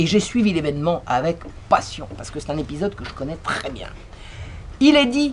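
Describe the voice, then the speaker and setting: A woman talks at a moderate pace with very wide pitch swings and big swings in loudness. Long, frequent pauses break up her speech over noticeable background noise. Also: fairly low pitch for a woman. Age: 60s. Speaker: historian and author. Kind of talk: conference talk.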